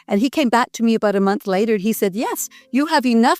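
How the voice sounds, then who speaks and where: In a Canadian accent, a woman speaks at a fairly high pitch with an animated tone and lively intonation, in a dry, close sound with no echo and music in the background. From Canada. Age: 60s. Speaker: pastor. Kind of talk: interview, life story. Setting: at home.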